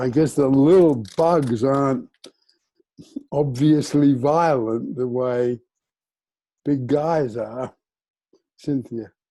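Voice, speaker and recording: Using fairly even intonation, a man with a fairly high pitch and dark, mellow tone speaks at a very slow pace with long, frequent pauses. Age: 80s+. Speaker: group discussion participant. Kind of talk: casual group sharing. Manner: halting.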